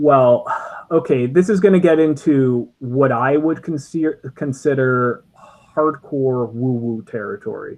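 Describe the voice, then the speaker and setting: At a fairly slow pace, a man speaks with a slight Canadian accent and ordinary pitch variation. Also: fairly high pitch for a man. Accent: subtle Canadian. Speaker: podcast co-host. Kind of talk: casual chat. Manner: halting, many fillers.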